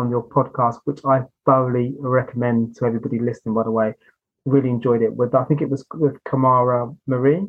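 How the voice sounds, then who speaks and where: The man has an ordinary speaking voice, medium in pitch, moving at a fairly quick pace with fairly even intonation. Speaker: podcast host. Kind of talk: casual interview chat.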